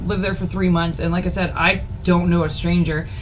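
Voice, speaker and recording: A woman with an American accent and a medium pitch speaks with lively intonation, her voice carrying audible room echo and noticeable background noise. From Texas. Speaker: podcast co-host. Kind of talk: casual chat. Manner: animated.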